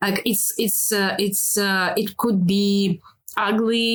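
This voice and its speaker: Speaking at a fairly slow pace, a woman with a Russian accent and medium pitch uses monotone, flat intonation. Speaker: filmmaker. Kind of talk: interview. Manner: halting, many fillers.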